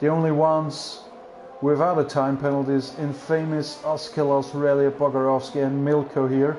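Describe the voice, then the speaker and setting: A man talks at a fairly high pitch and moderate pace, with monotone, flat intonation and very even loudness. Noticeable background noise is present. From Austria. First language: German. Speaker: sim racing commentator. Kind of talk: live commentary.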